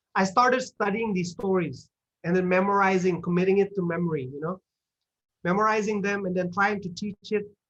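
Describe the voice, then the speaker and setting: The speaker uses an animated tone at a fairly quick pace with an Indonesian accent. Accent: Sundanese-tinged English. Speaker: guest speaker at English club. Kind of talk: talk to online audience. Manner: animated, many fillers and repetitions.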